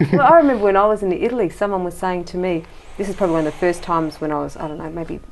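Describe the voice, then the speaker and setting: Delivered very fast with ordinary pitch variation, the speech comes in an Australian accent. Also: woman. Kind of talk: casual chat.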